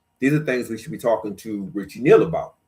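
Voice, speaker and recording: A man speaks with lively intonation. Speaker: talk show co-host. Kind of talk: reading policy notes aloud with commentary. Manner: fast; reads with frequent fillers and restarts.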